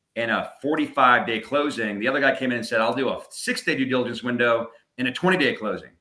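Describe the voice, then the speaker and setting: A man with a normal speaking voice and an American accent talks at a fairly quick pace, with a medium pitch and ordinary pitch variation. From New York suburbs. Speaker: real estate portfolio broker, company owner. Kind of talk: casual interview chat.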